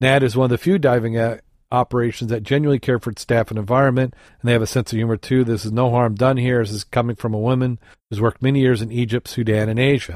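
Talking at a very fast pace, a man with a Midwestern accent has a medium-pitched voice and fairly even intonation. The recording is very clean with a silent background and a dry, close sound with no echo. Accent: general American Midwest. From Michigan, US Midwest. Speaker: podcast host, scuba diver. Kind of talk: casual chat podcast.

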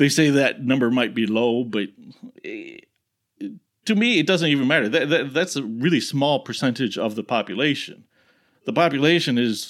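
A man's voice with ordinary pitch variation. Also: very clean recording, silent background. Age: 40s. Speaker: podcast host. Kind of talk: casual solo commentary. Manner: halting, many filler words.

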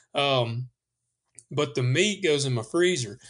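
Speaking with a Southern US accent, the man has a fairly high pitch. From US South. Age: 30s. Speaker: podcast host and hunter. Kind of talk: casual chat.

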